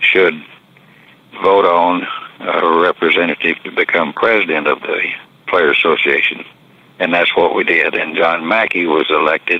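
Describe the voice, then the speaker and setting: With long, frequent pauses, a man with an American accent talks at a moderate pace over noticeable background noise. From Texas and Arkansas. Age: 80s+. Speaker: retired pro football player. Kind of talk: interview storytelling.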